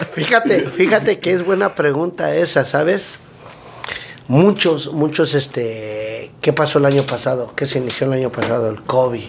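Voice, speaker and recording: A fairly high-pitched man at a fairly slow pace, with lively intonation and noticeable background noise. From Mexico City. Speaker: food truck owner and cook. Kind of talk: casual interview chat.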